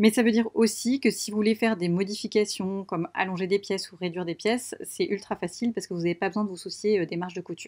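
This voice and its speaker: At a very fast pace with hardly any pauses, a woman of medium pitch talks with fairly even intonation in a dry, close sound with no echo. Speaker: sewing youtuber. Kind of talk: tutorial. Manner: hesitant, many fillers; soft-spoken.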